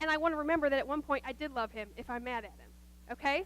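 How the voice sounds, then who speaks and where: Animated and at a fairly quick pace, a woman with an American accent speaks in a high pitch with a bright, sharp tone. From US Midwest, Nebraska. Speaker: guest speaker at church, nurse. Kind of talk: sermon. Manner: fast.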